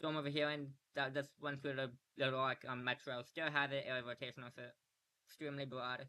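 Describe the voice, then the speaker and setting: A man's fairly high voice at a fairly quick pace, flat and monotone in its intonation. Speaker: livestreamer doing game weather coverage. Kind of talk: live commentary. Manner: halting, many fillers; casual.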